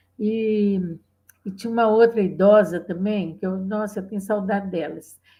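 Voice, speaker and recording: Against a quiet background, a woman speaks at a moderate pace with a medium pitch, a dark, mellow, somewhat breathy tone and fairly even intonation. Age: 70s. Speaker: feminist activist. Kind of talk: oral history interview. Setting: video call.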